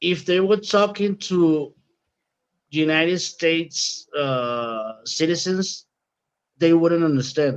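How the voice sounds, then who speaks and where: A man with a Spanish accent speaks in a high voice at a very slow pace. His speech has long, frequent pauses. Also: ordinary pitch variation. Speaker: podcast co-host. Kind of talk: casual chat. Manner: animated.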